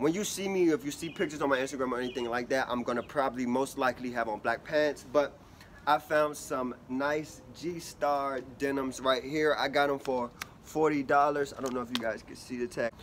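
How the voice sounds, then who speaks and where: Over light background noise, a man talks at a fairly quick pace with fairly even intonation. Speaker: fashion vlogger. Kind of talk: casual vlog chat. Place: street. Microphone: phone near.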